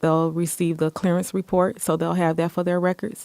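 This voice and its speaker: In an American accent, a woman speaks fairly quickly with a fairly low pitch and a dark, mellow tone, her intonation monotone and flat, the sound dry and close with no echo. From Michigan, Muskegon. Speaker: city department director. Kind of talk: interview.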